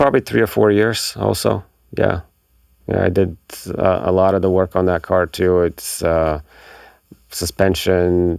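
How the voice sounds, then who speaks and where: Using a Bulgarian accent, a man speaks at a fairly slow pace with a very deep, low pitch, ordinary pitch variation, very even loudness and long, frequent pauses. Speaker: magazine marketing director. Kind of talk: casual interview chat. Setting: recording studio.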